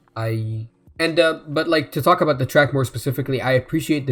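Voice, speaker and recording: A man talks at a fairly quick pace with music in the background. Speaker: music reaction youtuber. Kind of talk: live album reaction and review. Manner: halting, many fillers; self-described slurring.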